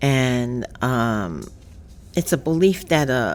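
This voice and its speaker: This woman talks in a New York accent. Her pitch varies in an ordinary way. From New York City, the Bronx. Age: 70s. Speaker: podcast co-host. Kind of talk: casual chat. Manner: halting.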